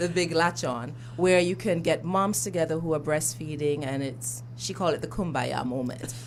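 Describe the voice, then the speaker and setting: A woman with an Antiguan accent and a very deep, low pitch, at a moderate pace with hardly any pauses and ordinary pitch variation, plus audible room echo and noticeable background noise. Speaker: breastfeeding advocate. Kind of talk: radio interview. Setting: radio studio.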